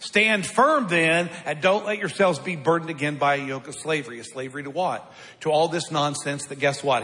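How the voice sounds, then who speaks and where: Fairly quick, animated speech from a man with a fairly high pitch, against noticeable background noise. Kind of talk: sermon. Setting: church. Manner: conversational, plain-spoken and blunt, with wry humor.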